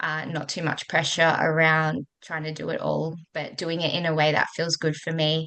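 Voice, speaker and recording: In an Australian accent, a woman speaks at a very deep, low pitch with monotone, flat intonation. Her pace is moderate, with hardly any pauses. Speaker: coach for working mothers. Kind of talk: interview.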